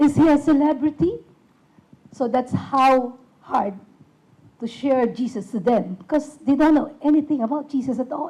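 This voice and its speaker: At a moderate pace and with long, frequent pauses, a woman speaks in a high voice with ordinary pitch variation. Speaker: puppet ministry worker. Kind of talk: ministry presentation to an audience. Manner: halting.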